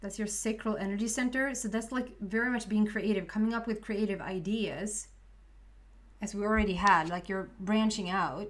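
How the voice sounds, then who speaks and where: A woman speaks at a moderate pace with a Swedish accent and a fairly high pitch. Her intonation stays fairly even, and the room echo is audible. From Sweden. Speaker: tarot reader. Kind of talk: tarot reading to camera. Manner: halting.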